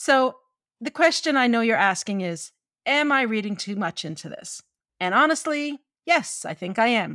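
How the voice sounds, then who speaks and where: In a Newfoundland accent, the voice has an animated, bright, sharp tone at a moderate pace, with very wide pitch swings and big swings in loudness. The sound is dry and close, with no echo. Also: woman, fairly high pitch for a woman. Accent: Newfoundland Canadian English. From Newfoundland, Canada (St. John's). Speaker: writer and literary editor, podcast co-host. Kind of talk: podcast discussion on story craft. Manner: animated, laughs often.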